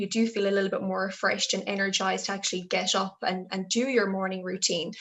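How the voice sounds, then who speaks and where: In an Irish accent, a woman speaks at a medium pitch with fairly even intonation. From Ireland, Galway. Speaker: health development officer. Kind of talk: interview answer.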